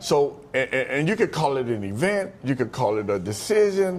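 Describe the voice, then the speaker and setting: Loud and animated, a man speaks at a moderate pace with very wide pitch swings. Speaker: motivational speaker. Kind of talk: interview.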